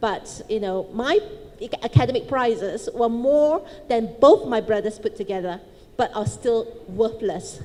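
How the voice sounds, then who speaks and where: A woman with a fairly high pitch and ordinary pitch variation delivers her words fairly slowly against noticeable background noise. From Malaysia, Chinese family. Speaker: businesswoman, panelist. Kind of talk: panel talk, personal story. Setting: stage with audience.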